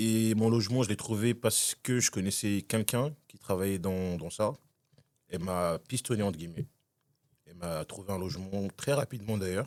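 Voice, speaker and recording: A man with a plain, everyday voice and a fairly low pitch speaks at a moderate pace, with ordinary pitch variation and big swings in loudness, in a very clean recording with a silent background. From Congo, moved to France at about 16. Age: 20s. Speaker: podcast guest, tenant. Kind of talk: casual interview chat.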